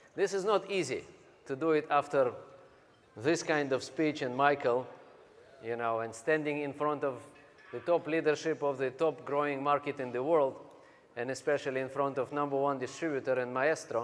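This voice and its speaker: A man with a Russian accent, fairly high in pitch, at a moderate pace with fairly even intonation and long, frequent pauses. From Siberia, Russia. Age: 40s. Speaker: business speaker. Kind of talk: motivational speech.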